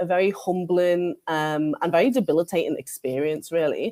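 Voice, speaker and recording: A woman with a Liverpool accent speaks at a moderate pace and medium pitch in a dark, mellow tone. The recording is very clean, with a silent background. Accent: Scouse. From northern England, Liverpool. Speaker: librarian, keynote speaker. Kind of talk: conference keynote talk. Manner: hesitant, many fillers and restarts.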